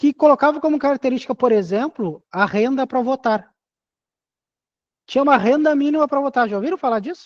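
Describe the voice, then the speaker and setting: The pace is fairly quick, broken by long, frequent pauses. The background is quiet. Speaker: teacher. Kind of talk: lecture. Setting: classroom with in-person students. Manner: fast.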